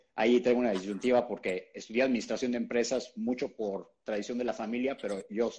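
A man with a Mexican accent talks at a very fast pace in a dark, mellow tone. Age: 40s. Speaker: keto nutrition educator. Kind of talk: interview.

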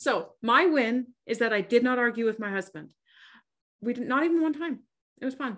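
At a moderate pace, a woman talks in a high pitch, leaving long, frequent pauses. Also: ordinary pitch variation. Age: 40s. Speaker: fitness and nutrition coach, podcast co-host. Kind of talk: casual chat. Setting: remote call.

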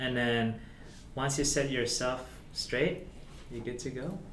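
A man talks fairly slowly while noticeable background noise continues. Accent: Filipino. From Philippines. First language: Tagalog. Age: 20s. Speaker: guest. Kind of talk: casual chat. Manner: halting.

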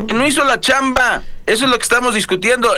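A man's raised, projected voice with a bright, sharp tone and lively intonation. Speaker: radio news anchor. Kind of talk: news show chat.

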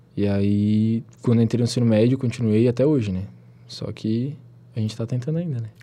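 A man speaks at a fairly quick pace in a dark, mellow tone. His pitch is medium and his intonation fairly even. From southern Santa Catarina, Brazil. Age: 20s. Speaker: pre-university student. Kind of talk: interview. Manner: casual, filler-heavy.

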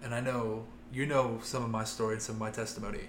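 With an American accent, the speaker keeps a fairly even intonation at a moderate pace, with audible room echo. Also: man. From US Midwest, Ohio. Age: 20s. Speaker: youth minister. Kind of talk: casual chat.

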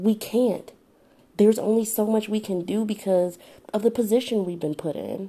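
A woman's fairly high voice at a moderate pace, intonation fairly even. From Detroit, Michigan. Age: 20s. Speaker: podcast host. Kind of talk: solo monologue. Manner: halting.

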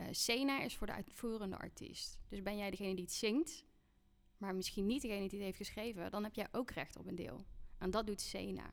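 Her voice marked by vocal fry, a woman with medium pitch and ordinary pitch variation speaks at a fairly quick pace. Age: 30s. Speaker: music artist manager. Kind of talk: casual interview.

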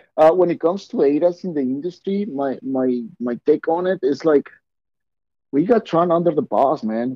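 A man with a Mexican accent talks in a fairly high voice with lively intonation. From Mexico. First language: Spanish. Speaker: auto glass installer and business owner. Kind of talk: casual interview chat.

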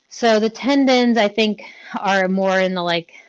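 Here a woman has an unremarkable speaking voice, pitched fairly high. Her pace is moderate. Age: 30s. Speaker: fitness business owner and coach. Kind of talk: casual chat.

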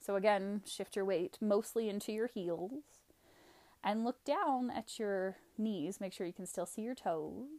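In a dark, mellow tone, a woman speaks at a medium pitch and a fairly slow pace, with ordinary pitch variation. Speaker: yoga instructor. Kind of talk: guided yoga class, calling each breath and pose in a steady vinyasa flow. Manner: rhythmic, cueing breath by breath: 'Inhale... Exhale...' in short clipped commands; calm, gentle and soothing, softly inviting rather than ordering.

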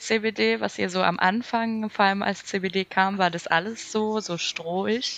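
A woman's medium-pitched voice with ordinary pitch variation, at a very slow pace with hardly any pauses. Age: 20s. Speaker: podcast guest. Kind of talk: casual chat.

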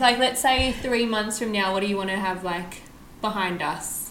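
Medium pitch and ordinary pitch variation from a woman over noticeable background noise. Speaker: podcast host. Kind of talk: casual chat. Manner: excitable.

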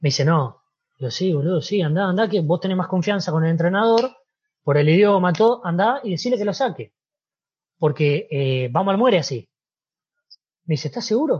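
A man with a high voice speaks with lively intonation and long, frequent pauses against a quiet background. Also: fairly quick pace. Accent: Argentine. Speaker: former footballer. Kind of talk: interview.

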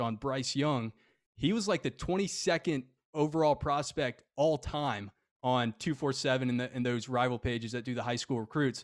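On a very clean recording with a silent background and a dry, close sound with no echo, a man at medium pitch speaks with ordinary pitch variation in an unremarkable speaking voice. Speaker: podcast host. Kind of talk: casual sports podcast talk.

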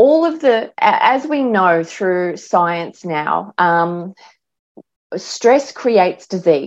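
Against a quiet background, a woman with an Australian accent speaks at medium pitch and a very slow pace, her pitch swinging very widely. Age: 50s. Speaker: mindset and life coach. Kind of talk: interview.

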